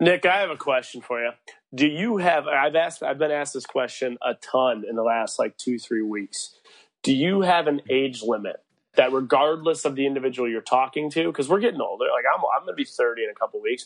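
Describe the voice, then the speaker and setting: A man talks at a fairly quick pace with lively intonation. He has a plain, everyday voice, fairly high in pitch. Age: 20s. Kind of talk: casual chat.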